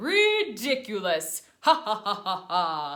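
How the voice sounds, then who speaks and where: A fairly high-pitched, put-on character voice at a very slow pace. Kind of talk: exaggerated, playful. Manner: silly, laughing.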